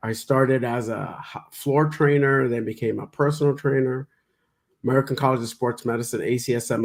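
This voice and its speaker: At a fairly quick pace and with fairly even intonation, the voice comes through a very clean recording with a silent background. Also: man. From New York City, the Bronx. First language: Spanish. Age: 60s. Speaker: physician, former personal trainer. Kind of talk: interview. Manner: halting, many false starts.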